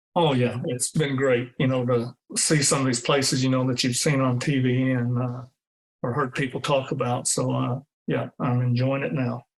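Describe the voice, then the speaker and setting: In a Texan accent, a man speaks at a medium pitch with fairly even intonation. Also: moderate pace. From Texas Hill Country. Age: 60s. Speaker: retired teacher and coach. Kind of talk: interview. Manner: hesitant, many fillers.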